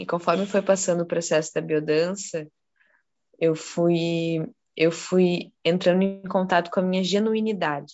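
In a fairly low, monotone voice with flat intonation, a woman speaks at a fairly slow pace. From southern Brazil, Porto Alegre. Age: 20s. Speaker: student and biodanza participant. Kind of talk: casual chat.

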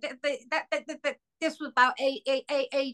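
A woman speaks with a high pitch. Her tone is bright and sharp.

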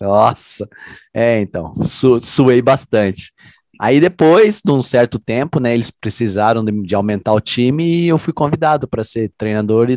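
The speaker talks at a fairly slow pace in an ordinary speaking voice, with lively intonation. The sound is dry and close, with no echo. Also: man, medium pitch for a man. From Londrina, Paraná, Brazil. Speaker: group fitness instructor. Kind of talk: casual chat.

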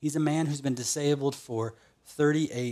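A man with a fairly high pitch for a man speaks at a very slow pace with lively intonation. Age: 30s. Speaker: pastor. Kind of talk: sermon. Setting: online church service.

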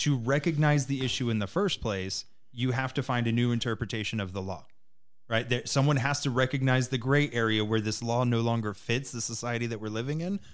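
A man speaks at a fairly quick pace in a plain, everyday voice, his pitch medium with ordinary variation. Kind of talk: casual chat.

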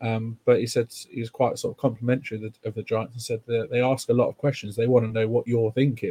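Very fast and monotone, the somewhat breathy voice has a dark, mellow tone and a dry, close sound with no echo. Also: man. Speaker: podcast host. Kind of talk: casual chat about football.

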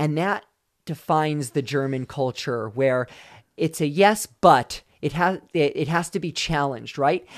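On a very clean recording with a silent background, an unremarkable speaking voice moves at a fairly slow pace with ordinary pitch variation. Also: man, fairly high pitch for a man. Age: 40s. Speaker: former pro runner, sports nutrition brand lead. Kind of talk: casual interview. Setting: in-person studio interview. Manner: frequent fillers and repetitions.

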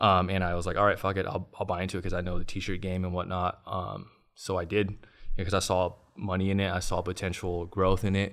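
A man's very deep, low voice in a monotone, flat delivery at a fairly quick pace, on a very clean recording with a silent background. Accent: American. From Long Beach, Southern California. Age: 30s. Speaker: entrepreneur. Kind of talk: casual interview.

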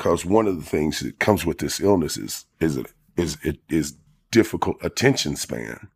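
A man's very deep, low voice with vocal fry and lively intonation, at a moderate pace, dry and close with no echo. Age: 40s. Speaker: formerly homeless ex-prisoner. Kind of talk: interview. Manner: halting, many fillers.

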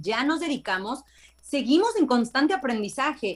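A woman speaks at a high pitch. Her pace is moderate. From Mexico, Veracruz. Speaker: TV correspondent and actress. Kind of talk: casual interview. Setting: remote video call from location.

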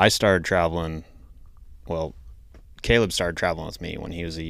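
This voice has an American accent. Vocal fry runs through it. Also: man. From Idaho. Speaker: podcast host. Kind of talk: casual chat.

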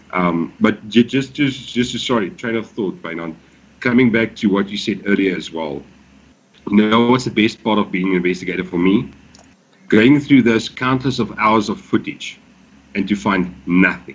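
A man with an ordinary speaking voice, fairly low in pitch, with ordinary pitch variation and a moderate pace. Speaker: paranormal vlogger. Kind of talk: casual chat.

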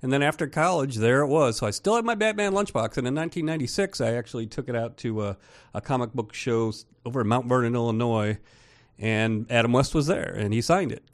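Very fast speech from a man at medium pitch, with lively intonation over a quiet background. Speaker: movie critic and toy collector. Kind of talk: radio interview. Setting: radio studio.

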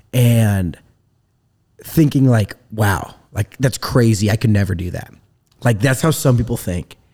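A man with an American accent speaks at a fairly slow pace with long, frequent pauses. His dark, mellow tone is somewhat breathy. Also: medium pitch for a man, ordinary pitch variation. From US Midwest, rural northern Indiana. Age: 20s. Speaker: entrepreneur. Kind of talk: casual interview. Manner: energetic.

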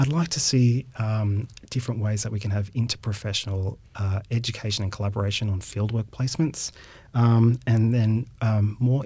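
Somewhat breathy and dark, mellow in tone, a man with an Australian accent speaks at a fairly quick pace and medium pitch with fairly even intonation. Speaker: university professor and occupational therapist. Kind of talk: interview.

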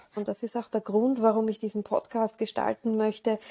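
A woman's fairly high, dark and mellow voice, dry and close with no echo. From Austria, Vienna. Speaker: dancer, choreographer and podcast host. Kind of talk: podcast introduction monologue.

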